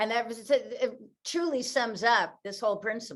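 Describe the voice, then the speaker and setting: Using a normal speaking voice, a woman talks at a fairly high pitch and a fairly slow pace. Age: 60s. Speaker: author and motivational speaker. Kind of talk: interview.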